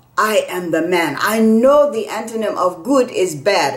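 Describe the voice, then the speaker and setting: Over noticeable background noise, a woman with an American accent talks at a fairly slow pace. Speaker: storyteller. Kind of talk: storytelling performance.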